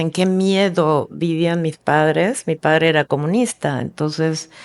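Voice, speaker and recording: A woman speaks at a fairly slow pace in a fairly low pitch, with ordinary pitch variation. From Argentina. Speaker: filmmaker. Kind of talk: casual interview. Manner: halting.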